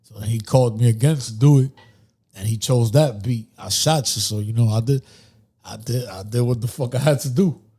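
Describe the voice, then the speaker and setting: A man of medium pitch, with a dark, mellow tone and a somewhat breathy voice, talks at a fairly quick pace with ordinary pitch variation. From New York City, Dominican-American (Dyckman/Uptown). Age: 30s. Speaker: rapper. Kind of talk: casual interview chat.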